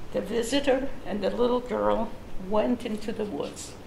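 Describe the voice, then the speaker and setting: A woman talks at a very slow pace. Noticeable background noise can be heard. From Lithuania. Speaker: Holocaust survivor. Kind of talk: personal testimony talk.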